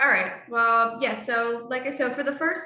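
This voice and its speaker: A raised, projected voice with a bright, sharp tone at a moderate pace. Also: woman. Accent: South Philadelphia. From Philadelphia, South Philly. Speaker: harm reduction coordinator, trainer. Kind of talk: online training presentation.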